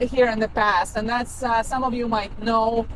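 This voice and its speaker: A woman speaks in a Kazakh accent. Her pitch is fairly high. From Kazakhstan. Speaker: travel vlogger. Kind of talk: travel vlog narration. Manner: hesitant, many fillers.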